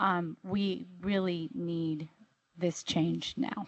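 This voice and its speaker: A woman speaks with fairly even intonation at a fairly low pitch. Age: 70s. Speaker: union leader, public commenter. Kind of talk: public comment at board meeting. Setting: at podium in meeting room.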